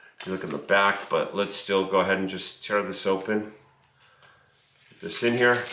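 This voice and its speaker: Speaking at a moderate pace with long, frequent pauses, a man with a fairly low pitch keeps a fairly even intonation while his loudness swings widely, set against noticeable background noise and audible room echo. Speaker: business coach. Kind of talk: tutorial. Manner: casual.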